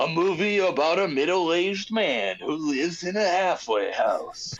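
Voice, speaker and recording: This man puts on a character voice with a high pitch. His loudness stays very even throughout. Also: moderate pace. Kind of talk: dramatic, announcer-like.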